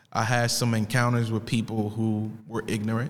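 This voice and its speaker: A man with a plain, everyday voice speaks in an American accent. His pitch is medium and his pace moderate. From Italy and US. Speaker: podcast host. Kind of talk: casual monologue introducing podcast. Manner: casual, conversational.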